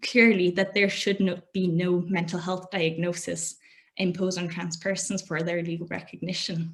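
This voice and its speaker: The speech moves at a fairly quick pace in a monotone, flat intonation. The voice is somewhat breathy. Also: woman. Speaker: academic presenter. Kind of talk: presentation. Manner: fast.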